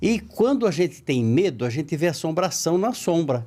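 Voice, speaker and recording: Very wide pitch swings mark this man's high-pitched voice. He speaks at a moderate pace on a very clean recording with a silent background. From rural interior São Paulo, Brazil. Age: 70s. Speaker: spiritist writer and speaker. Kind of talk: podcast interview, storytelling.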